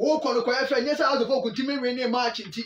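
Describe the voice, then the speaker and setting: A man speaks very fast at an extremely high pitch, his intonation fairly even. Light background noise and audible room echo are present. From Ghana. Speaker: sports channel host. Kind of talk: sports news commentary. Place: home room. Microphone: phone near.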